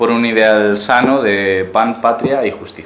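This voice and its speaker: A man with a Galician accent speaks at a fairly low pitch with fairly even intonation. Room echo is audible, and background noise is noticeable. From Uruguay, raised in Galicia, Spain. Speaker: political activist speaker. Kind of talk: lecture. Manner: halting, many repetitions.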